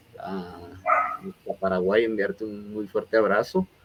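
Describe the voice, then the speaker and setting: A man speaks at a fairly low pitch and a fairly slow pace. Noticeable background noise can be heard. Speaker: interview show host. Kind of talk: interview closing remarks. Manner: hesitant, many fillers.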